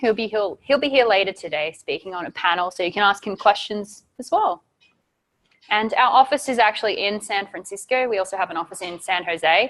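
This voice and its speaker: Speaking at a moderate pace in a strong Australian accent, a woman keeps a medium pitch with ordinary variation. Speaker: site reliability engineer, conference speaker. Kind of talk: conference talk.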